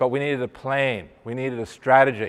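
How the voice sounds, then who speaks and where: A man's medium-pitched voice in an Australian accent, animated in tone, at a fairly quick pace. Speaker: digital marketing presenter. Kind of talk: presentation to live audience. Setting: room with live audience, no microphone.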